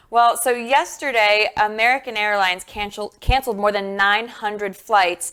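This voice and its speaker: With an East Coast accent, a woman speaks at a moderate pace with hardly any pauses. Her fairly high voice has a bright, sharp tone and ordinary pitch variation. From US East Coast. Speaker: talk show co-host, former reporter. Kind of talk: casual news discussion.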